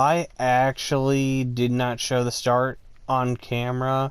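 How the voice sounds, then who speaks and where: A medium-pitched man's voice in a very clean recording with a silent background. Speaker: gaming YouTuber. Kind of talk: gameplay commentary. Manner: monotone; flat, low energy.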